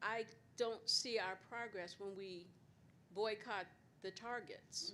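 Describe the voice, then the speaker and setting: A woman at medium pitch moves at a very slow pace, with ordinary pitch variation. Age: 60s. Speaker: audience member. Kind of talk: audience question.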